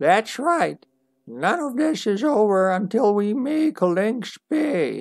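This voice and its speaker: In a put-on character voice, a man speaks at a very slow pace and a high pitch, with very wide pitch swings, very even loudness, and a dry, close sound with no echo. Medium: game stream. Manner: archaic, formal, wandering speech.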